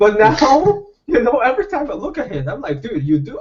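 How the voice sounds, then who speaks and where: The speaker has a non-native accent and a moderate pace. Pitch swings very widely throughout. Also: man. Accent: foreign. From Brazil. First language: not English (English is fourth language). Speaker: fishing YouTuber. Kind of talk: casual chat. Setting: video call. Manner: animated.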